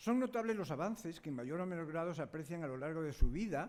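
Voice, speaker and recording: A man's fairly high voice moves through very wide pitch swings. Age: 80s+. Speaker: conference speaker, parent of a daughter with Down syndrome. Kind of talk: conference talk.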